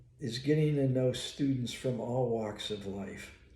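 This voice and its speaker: Audible room echo surrounds a man's somewhat breathy, dark and mellow voice at medium pitch, delivered at a very slow pace with ordinary pitch variation. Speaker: psychologist and college professor. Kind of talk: casual monologue. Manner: halting.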